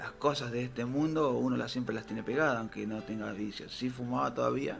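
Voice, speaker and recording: Music plays behind a man with a Rioplatense accent, who speaks at a medium pitch with ordinary pitch variation. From Argentina, Buenos Aires area. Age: 40s. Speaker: pastor. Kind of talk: interview. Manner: hesitant, many fillers.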